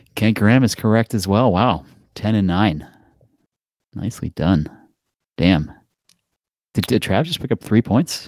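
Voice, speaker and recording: The voice carries an American accent with lively intonation, moving at a fairly slow pace with long, frequent pauses. The recording is very clean, with a silent background. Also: man, fairly low pitch for a man. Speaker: podcast co-host, football bettor. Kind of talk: casual sports betting chat. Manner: casual, filler-heavy.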